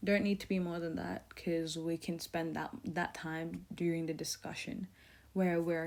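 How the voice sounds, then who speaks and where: This woman has an ordinary speaking voice, a fairly low pitch, fairly even intonation and a moderate pace. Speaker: tutor. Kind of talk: tutorial.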